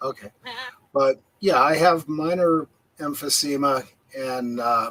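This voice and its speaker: An ordinary speaking voice from a man, fairly high in pitch with ordinary pitch variation, at a fairly slow pace, with a dry, close sound and no echo. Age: 60s. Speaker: livestream host. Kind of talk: casual chat. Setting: livestream.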